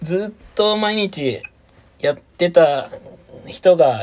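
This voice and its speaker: A man talks with lively intonation. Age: 30s. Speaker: podcast co-host. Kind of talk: casual chat. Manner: animated.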